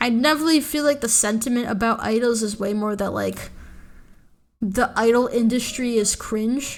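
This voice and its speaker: A woman speaks at a fairly high pitch in an animated tone. Her pitch varies in an ordinary way, and her pace is moderate. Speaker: VTuber streamer. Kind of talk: casual livestream commentary. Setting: live stream.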